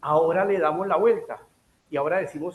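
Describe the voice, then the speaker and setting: With a Bogotá accent, a man talks at a high pitch with ordinary pitch variation. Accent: Colombian Spanish, Bogotá. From Colombia, Bogotá. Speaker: health economics speaker, physician. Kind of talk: lecture.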